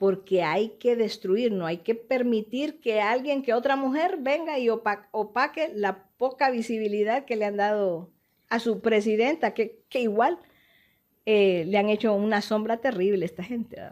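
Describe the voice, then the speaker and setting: On a very clean recording with a silent background, a woman uses an ordinary speaking voice with a fairly high pitch. She talks at a fairly slow pace with ordinary pitch variation. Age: 60s. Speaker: politician and doctor. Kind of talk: interview.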